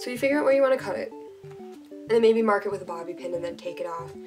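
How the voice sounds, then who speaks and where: A woman's voice with music in the background. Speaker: cosplayer. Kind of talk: casual tutorial talk to camera.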